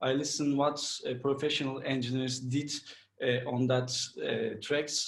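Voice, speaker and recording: A man with a Turkish accent speaks with fairly even intonation. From Turkey, Istanbul. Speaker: mixing and mastering engineer. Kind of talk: interview. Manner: halting.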